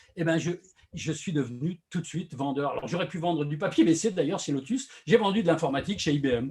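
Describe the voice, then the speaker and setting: This man talks fairly quickly in a fairly high pitch, his pitch shifting in an ordinary way. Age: 60s. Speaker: social selling consultant. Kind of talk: interview. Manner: hesitant, many fillers.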